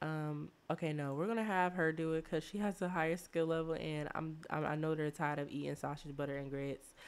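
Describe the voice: Her tone is clear and smooth, and this woman's pitch is low. She speaks at a fairly quick pace with fairly even intonation.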